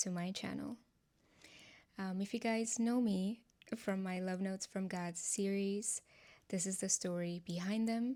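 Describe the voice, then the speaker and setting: A woman with a Nepali accent, a dark, mellow tone and medium pitch, fairly slow with fairly even intonation. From Nepal, Kathmandu. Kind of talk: testimony. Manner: casual, conversational.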